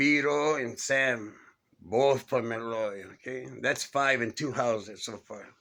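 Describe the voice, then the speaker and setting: Speaking very slowly with an American accent, a man has a medium-pitched voice with a bright, sharp tone and ordinary pitch variation. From East Los Angeles, Maravilla barrio. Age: 60s. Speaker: neighborhood storyteller. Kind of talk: casual reminiscence monologue. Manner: casual, conversational.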